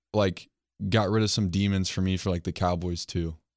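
A man with a normal speaking voice and an American accent talks at a moderate pace with a fairly low pitch, on a very clean recording with a silent background. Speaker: sports podcast host. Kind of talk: casual chat.

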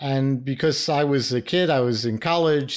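A man with an American accent and a normal speaking voice talks at a medium pitch with fairly even intonation. The recording is very clean, with a silent background. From US Northeast, New York (Bronx). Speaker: retired intelligence officer. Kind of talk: interview.

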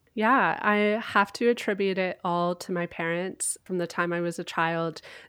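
A woman speaks in an ordinary speaking voice with a Canadian accent, fairly low in pitch with ordinary pitch variation. Her pace is moderate against a quiet background. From Canada. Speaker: travel blogger and podcaster. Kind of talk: casual interview.

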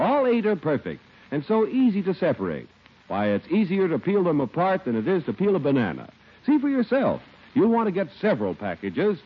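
A man speaks at a fairly quick pace in an upbeat tone. His pitch swings very widely. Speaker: radio announcer. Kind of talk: scripted radio commercial and announcement reading. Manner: smooth, polished, upbeat, formal salesman delivery.

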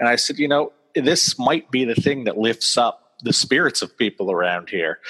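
A man with an ordinary speaking voice at a moderate pace, lively intonation, and a dry, close sound with no echo. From US Northeast (central Maine). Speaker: author. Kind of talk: interview. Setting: video call.

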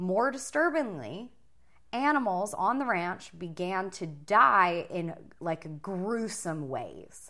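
Her tone bright and sharp, a woman speaks at a medium pitch and a very slow pace with very wide pitch swings. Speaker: podcast host. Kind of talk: casual chat.

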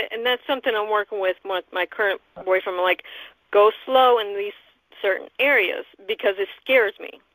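Fairly high in pitch, a woman's ordinary speaking voice moves at a moderate pace with fairly even intonation. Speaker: radio host. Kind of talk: casual interview chat.

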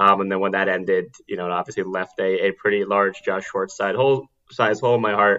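In a normal speaking voice, a man with an American accent talks at a fairly quick pace, his pitch fairly low and his intonation fairly even. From New York City (Manhattan). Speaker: podcast guest. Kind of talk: casual chat.

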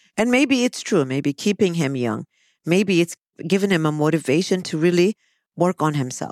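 Recorded dry and close with no echo in a very clean recording over a silent background, a woman with a plain, everyday voice speaks at a fairly low pitch and a moderate pace, her intonation lively. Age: 50s. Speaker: psychologist. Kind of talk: casual chat.

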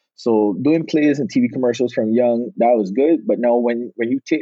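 A man with a Barbadian accent. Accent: Bajan (Barbados) Caribbean. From Barbados. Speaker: podcast guest, film director and actor.

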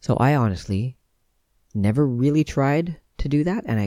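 In a very clean recording with a silent background, a soft-spoken man with a dark, mellow tone talks at a moderate pace with lively intonation. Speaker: podcast host on veganism and self-awareness. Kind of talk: solo talk, reflective monologue. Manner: soft-spoken, calm.

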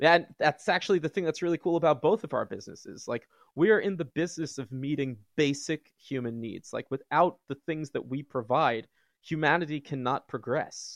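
A man's unremarkable speaking voice, fairly high in pitch, with ordinary pitch variation and a moderate pace, in dry, close sound with no echo against a quiet background. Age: 30s. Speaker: psychotherapist. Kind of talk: casual chat.

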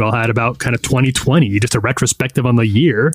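A man's medium-pitched, ordinary speaking voice at a fairly quick pace. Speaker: magazine editor. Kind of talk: casual chat.

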